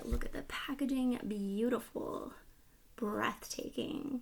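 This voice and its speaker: Soft-spoken at a very slow pace, a woman talks with a fairly high pitch and ordinary pitch variation. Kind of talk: casual talk to camera; ASMR makeup palette review.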